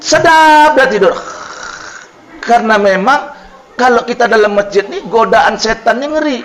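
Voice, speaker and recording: Loud and animated, a man with an extremely high pitch speaks at a moderate pace with ordinary pitch variation over noticeable background noise. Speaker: Islamic preacher. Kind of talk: sermon.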